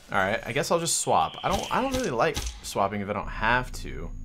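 A man at a moderate pace, with audible room echo and music in the background. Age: 20s. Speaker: gaming YouTuber. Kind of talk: gameplay commentary. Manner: animated.

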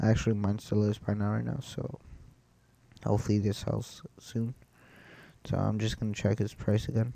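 Long, frequent pauses break up this man's speech. His tone is dark and mellow, and his intonation is monotone and flat. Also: fairly quick pace. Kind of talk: gameplay commentary. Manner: hesitant, casual.

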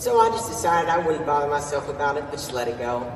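The speech moves at a fairly quick pace over light background noise, with audible room echo. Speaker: student actor. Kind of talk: theatrical monologue performance of a literary first-person narration. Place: stage.

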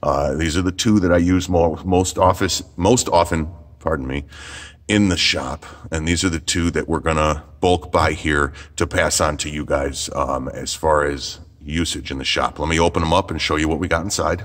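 Over a quiet background, a man with a very deep, low pitch and vocal fry talks at a moderate pace with fairly even intonation. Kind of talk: product demo tutorial. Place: workshop.

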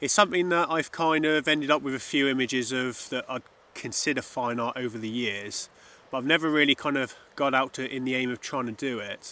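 At a moderate pace, a man speaks in a bright, sharp tone, recorded dry with no echo. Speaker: landscape photographer vlogger. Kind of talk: casual vlog chat. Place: open country.

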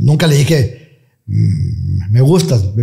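Before a quiet background, a man speaks in a dark, mellow tone that is somewhat breathy. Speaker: radio announcer. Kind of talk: interview answer. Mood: relaxed, reminiscing. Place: studio. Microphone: studio mic.

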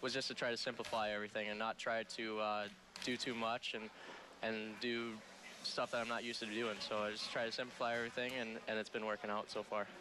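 With an American accent, a man talks at a very fast pace in a dry recording with no echo and noticeable background noise. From California. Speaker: college hockey goalie. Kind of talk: post-game interview. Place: hall. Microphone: headset.

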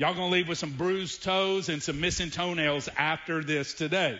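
An animated man speaks with ordinary pitch variation in a strong Southern US accent. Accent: deep Southern drawl. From US South. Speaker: pastor. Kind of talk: sermon. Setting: church. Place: church. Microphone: headset.

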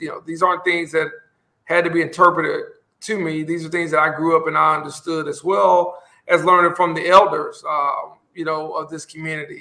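A man's high, bright, sharp voice in an Alabama accent, flat and monotone, at a fairly quick pace with big swings in loudness. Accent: Southern US (Alabama). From US South, Montgomery, Alabama. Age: Generation X. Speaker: mayor. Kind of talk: interview.

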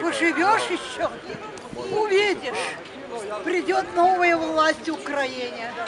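A woman talks very slowly, leaving long, frequent pauses, with noticeable background noise behind her. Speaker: elderly passerby in a street argument. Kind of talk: street argument. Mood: agitated, lecturing. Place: street. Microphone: phone near.

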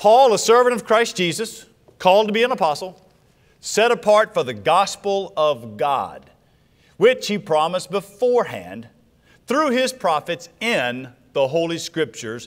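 With a quiet background, a man speaks at a fairly slow pace. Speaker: preacher. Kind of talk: sermon scripture reading. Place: church. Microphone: lapel.

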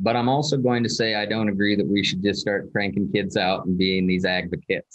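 Against a quiet background, a man with an ordinary speaking voice talks at a fairly quick pace with hardly any pauses, at a fairly low pitch, with ordinary pitch variation and very even loudness. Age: 30s. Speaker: agriculture teacher, podcast guest. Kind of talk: casual interview. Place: office. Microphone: video call.

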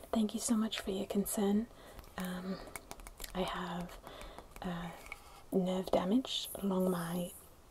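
A woman speaks slowly at a fairly low pitch, with fairly even intonation. Faint background noise sits behind her. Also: slightly mellow tone.

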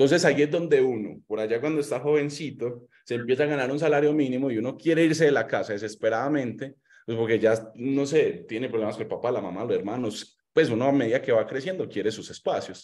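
A man with a Colombian accent speaks at a very fast pace, with hardly any pauses and ordinary pitch variation. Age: 20s. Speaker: motivational speaker on personal finance; motivational speaker. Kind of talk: online seminar talk with slides. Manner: animated. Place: home room. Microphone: webcam.

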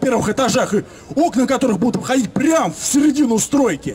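A man talks at a fairly quick pace, his pitch extremely high and his tone animated. Light background noise sits behind him. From Moscow, Leninsky prospekt; Moscow. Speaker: local resident activist. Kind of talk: public speech at residents' meeting. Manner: animated, indignant. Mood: indignant, complaining. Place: street. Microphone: camera far.

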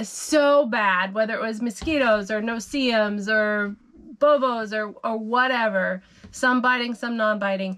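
The tone is fairly bright, clear and smooth. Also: woman, fairly high pitch for a woman, ordinary pitch variation, fairly slow pace.

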